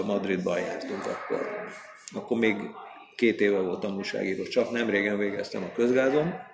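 A man talks at a moderate pace and medium pitch with ordinary pitch variation. Audible room echo and noticeable background noise surround him. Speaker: sports journalist. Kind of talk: casual chat. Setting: in person.

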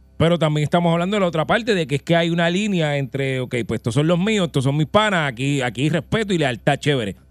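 Very fast speech with lively intonation on a very clean recording with a silent background. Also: man, fairly high pitch for a man. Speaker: radio host. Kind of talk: casual chat. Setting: studio.

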